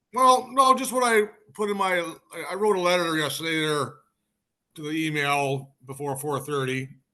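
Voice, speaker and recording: With lively intonation and a bright, sharp tone, a man speaks at a high pitch. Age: 60s. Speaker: permit applicant. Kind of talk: public hearing statement. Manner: halting, repetitive.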